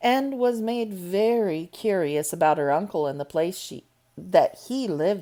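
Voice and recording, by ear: A natural voice reading aloud, full of lively intonation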